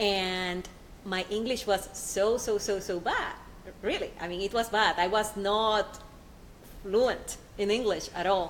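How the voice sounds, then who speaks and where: Pausing long and often, a woman of medium pitch speaks at a fairly slow pace with fairly even intonation. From Puerto Rico. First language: Spanish. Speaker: nanotechnology scientist. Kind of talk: panel discussion.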